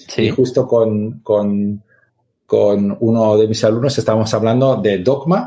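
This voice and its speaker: Speaking at a fairly slow pace, a man has a medium-pitched voice with a dark, mellow tone. His pitch variation is ordinary. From Catalonia. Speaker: teacher and gamification expert. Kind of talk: interview.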